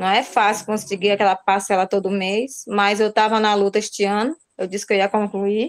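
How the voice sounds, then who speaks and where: Monotone, flat intonation at a moderate pace. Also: woman. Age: 40s. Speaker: pedagogy student. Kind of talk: class self-introduction.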